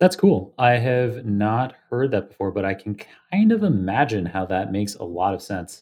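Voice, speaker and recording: A man speaks with a normal speaking voice at a fairly low pitch. His pitch variation is ordinary and his pace moderate. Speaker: podcast host. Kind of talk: interview.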